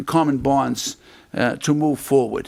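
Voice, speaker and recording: Fairly even intonation carries this voice with a Boston accent. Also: man. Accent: Boston-area. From Medford, Massachusetts. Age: 70s. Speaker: city council candidate. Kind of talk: interview. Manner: halting.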